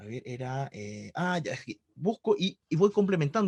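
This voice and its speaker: A man's fairly high voice makes very wide pitch swings, with a dry, close sound with no echo and a quiet background. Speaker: math tutor. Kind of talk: online tutoring session. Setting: video call. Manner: fast.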